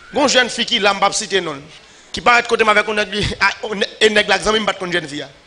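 A man speaks in a raised, projected voice, high in pitch with ordinary variation and a fairly quick pace. Noticeable background noise can be heard. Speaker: pastor. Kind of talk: sermon.

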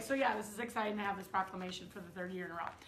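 A woman does a put-on character voice that is raspy and hoarse, with a medium pitch. She talks very fast over clear background noise. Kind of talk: casual vlog chat. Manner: excited. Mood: excited, upbeat.

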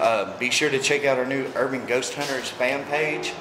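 Noticeable background noise sits behind this man. His intonation is monotone and flat. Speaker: urban explorer vlogger. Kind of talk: casual vlog chat. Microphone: phone near.

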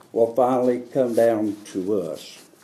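A man talks with a North Carolina accent. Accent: US Southern, North Carolina. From North Carolina, Harnett County. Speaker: farmer. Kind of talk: press conference statement. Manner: halting, many fillers. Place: hall.

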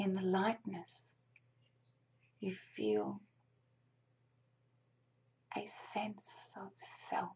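A soft-spoken woman is whispering. Light background noise can be heard. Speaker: meditation guide. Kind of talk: guided meditation. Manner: soft slow whispered meditation voice. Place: home room. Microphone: webcam.

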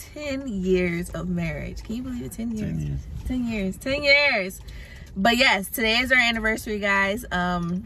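Speech moves at a moderate pace with ordinary pitch variation. The sound is dry with no echo, over light background noise. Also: woman. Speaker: family vlogger. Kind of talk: casual vlog chat. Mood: happy, celebratory. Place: car. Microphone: phone near.

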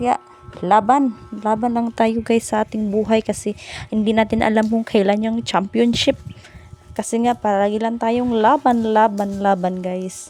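Music plays in the background as a woman speaks with a Bisaya accent at a fairly high pitch. Her intonation is monotone and flat, and her pace is fairly slow. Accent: Bisaya-tinged Tagalog. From Bohol, Philippines. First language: Cebuano (Bisaya) (speaking Tagalog). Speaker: vlogger. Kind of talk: casual vlog narration. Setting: outdoors in the countryside. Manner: halting.

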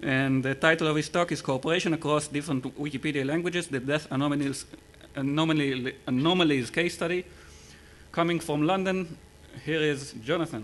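A man's fairly high voice, an ordinary speaking voice, at a fairly quick pace with fairly even intonation. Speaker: session moderator. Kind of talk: event moderating. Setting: stage with audience. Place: hall. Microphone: podium.

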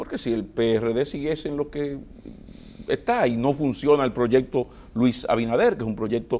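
A man speaks at a moderate pace with medium pitch and ordinary pitch variation. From Dominican Republic. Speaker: TV interview host. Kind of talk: political TV interview. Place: studio. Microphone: lapel.

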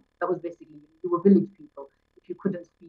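Against a quiet background, a woman's voice comes through somewhat breathy. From Kashmir, then Yorkshire (Bradford) from age 12; Kashmir. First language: Pahari (Kashmiri dialect). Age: 40s. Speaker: poet and teacher; poet, interview guest. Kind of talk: interview conversation. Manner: halting, many fillers and repetitions. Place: home room. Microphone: video call.

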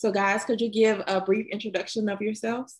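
A woman at medium pitch with a slightly husky edge, moderate pace and little pitch movement

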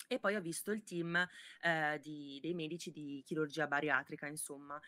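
A woman with a fairly low pitch and a bright, sharp tone speaks at a moderate pace, the sound dry with no echo and the background quiet. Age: 20s. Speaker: body-positivity content creator. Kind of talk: casual interview. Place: home room.

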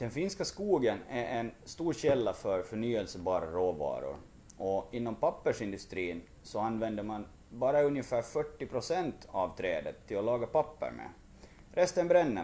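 A dark, mellow tone moves through very wide pitch swings at a moderate pace. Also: man, medium pitch for a man. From Åland (Mariehamn), Finland; Åland, Finland. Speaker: wood chemistry researcher. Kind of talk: explanatory interview. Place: office.

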